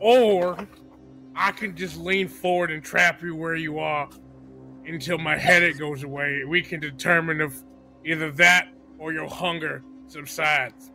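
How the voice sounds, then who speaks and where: Put-on character voice from a man at fairly high pitch, moderate pace, long, frequent pauses and clear music behind. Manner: gruff, exasperated.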